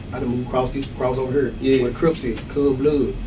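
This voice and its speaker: A man rattles along very fast with music playing behind him. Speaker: interviewee. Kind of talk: interview answer. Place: studio.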